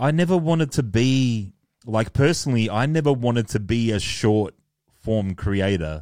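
Recorded very cleanly against a silent background, a man at medium pitch speaks with lively intonation and very even loudness. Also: moderate pace. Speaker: YouTuber and DJ. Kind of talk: casual chat. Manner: laid-back, casual, uses slang like bro.

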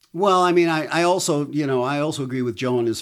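A man at a moderate pace, with ordinary pitch variation and a plain, everyday voice. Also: very clean recording, silent background. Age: 50s. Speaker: musician. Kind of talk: casual chat.

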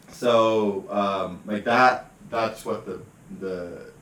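Amid noticeable background noise and audible room echo, a man speaks at a very slow pace, medium in pitch, with fairly even intonation. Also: long, frequent pauses. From Western Canada, British Columbia. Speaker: comedian. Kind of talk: casual chat.

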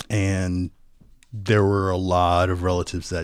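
A man with an American accent and a very deep, low pitch speaks at a fairly slow pace. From US West Coast, Los Angeles. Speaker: voiceover artist, wedding guest storyteller. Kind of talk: casual interview. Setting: podcast microphone, remote recording.

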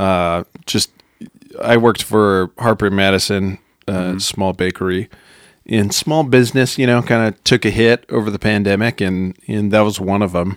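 A man with a plain, everyday voice talks at a moderate pace with a fairly low pitch and fairly even intonation, in a dry, close sound with no echo. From Wyoming, Rocky Mountain US. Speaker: cinema employee, musician. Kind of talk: casual interview chat.

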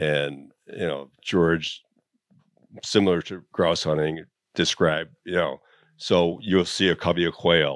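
A man with an American accent, very deep and low-pitched, at a fairly slow pace with fairly even intonation. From Chicago. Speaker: bird hunter. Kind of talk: casual chat. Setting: hunting shack.

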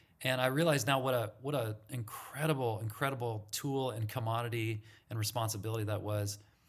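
Speaking with an American accent, a man keeps a fairly quick pace with hardly any pauses. His medium pitch holds a fairly even intonation. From Santa Monica, California. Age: 50s. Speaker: former campus ministry leader. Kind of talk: casual interview.

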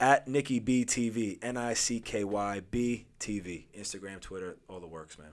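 An ordinary speaking voice from a man with an American accent, fairly low in pitch, at a moderate pace with hardly any pauses, ordinary pitch variation and big swings in loudness, in a very clean recording with a silent background. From Long Island, New York. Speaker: actor and TV personality. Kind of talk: casual podcast interview.

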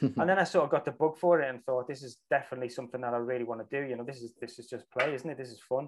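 Speaking very fast with hardly any pauses, a man with a Liverpool accent keeps a medium pitch and fairly even intonation while his loudness swings widely. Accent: Scouse. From Liverpool, England. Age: 40s. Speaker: film director and actor. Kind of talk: casual interview chat.

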